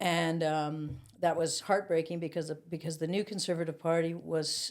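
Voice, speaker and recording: On a very clean recording with a silent background, a woman with a Canadian accent talks at a fairly slow pace in a fairly low pitch, an ordinary speaking voice. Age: 60s. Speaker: former political youth activist. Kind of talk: casual chat. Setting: studio.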